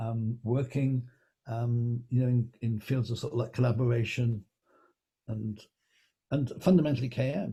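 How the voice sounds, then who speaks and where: A man with an English accent speaks in a dark, mellow, somewhat breathy tone, his fairly even intonation broken by long, frequent pauses. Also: medium pitch for a man, moderate pace. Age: 70s. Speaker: knowledge management consultant. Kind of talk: interview. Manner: halting.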